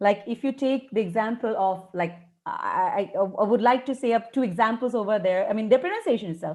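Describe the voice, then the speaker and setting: With an Indian accent, the speaker moves at a fairly quick pace and hardly pauses. Pitch varies in an ordinary way. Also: woman, fairly high pitch for a woman. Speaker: English educator. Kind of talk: webinar interview. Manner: fast.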